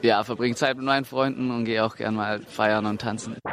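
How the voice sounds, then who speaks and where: The man talks at a medium pitch in a monotone, flat way. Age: 20s. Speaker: engineering student. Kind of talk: interview.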